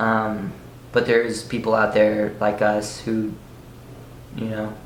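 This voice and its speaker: Recorded with audible room echo, a man at medium pitch speaks at a fairly slow pace. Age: young. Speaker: fitness youtuber with scoliosis. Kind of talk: casual Q&A vlog. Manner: halting, many fillers.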